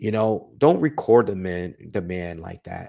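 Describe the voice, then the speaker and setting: A soft-spoken man talks with ordinary pitch variation. The recording is very clean, with a silent background. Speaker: boxing commentary youtuber. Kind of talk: casual solo commentary. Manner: soft-spoken, talking low.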